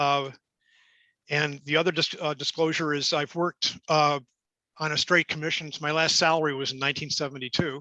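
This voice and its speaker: A man with an American accent, fairly high pitch and a bright, sharp tone, monotone, flat intonation at a fairly quick pace, in a dry, close sound with no echo and a quiet background. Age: 70s. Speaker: career coach presenter. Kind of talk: webinar presentation. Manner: halting, many fillers and restarts.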